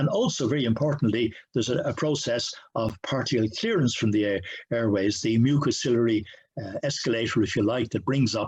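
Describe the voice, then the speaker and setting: Pitch variation here is ordinary. A somewhat breathy quality runs through the voice. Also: man, medium pitch for a man, fairly quick pace. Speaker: professor. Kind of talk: lecture. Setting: video call. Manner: halting, with many fillers; fast.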